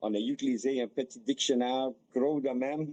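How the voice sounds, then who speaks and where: A man with an English accent has a dark, mellow tone. He speaks at a very slow pace. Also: dry, close sound with no echo. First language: English (speaking French). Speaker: hockey player's father. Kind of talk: interview.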